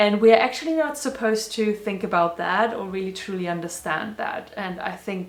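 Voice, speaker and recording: A woman speaks with a non-native accent. Noticeable background noise and audible room echo come through. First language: not English. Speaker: spiritual video blogger. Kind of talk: personal reflection monologue. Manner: casual.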